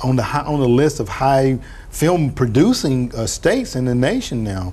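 Speaking at a fairly slow pace, this is a man. Pitch variation in his voice is ordinary. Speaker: TV talk show host. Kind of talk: interview. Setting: studio. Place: studio. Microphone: lapel.

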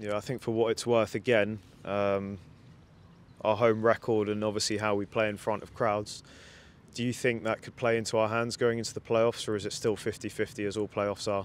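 A man at a fairly low pitch and moderate pace, with a dry sound and no echo. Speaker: club video presenter and interviewer. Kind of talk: welcome intro then sports interview. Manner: upbeat, conversational. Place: stadium. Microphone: handheld.

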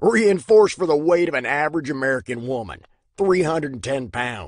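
The man's voice sits fairly high. He keeps a moderate pace. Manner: snarky, mocking.

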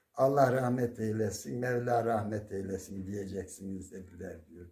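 A man talks at a fairly slow pace with a dark, mellow tone and ordinary pitch variation. His voice is somewhat breathy. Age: 70s. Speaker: retired primary school teacher. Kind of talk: interview; folk tale storytelling. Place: home room. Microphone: phone near.

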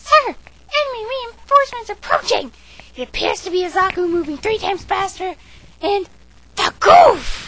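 Someone does a put-on character voice at an extremely high pitch and a moderate pace. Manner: urgent.

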